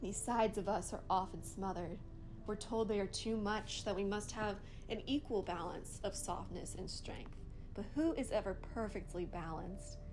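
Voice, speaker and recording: Speaking at a moderate pace, a woman has an ordinary speaking voice at medium pitch with ordinary pitch variation. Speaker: poet. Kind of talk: spoken word poetry reading.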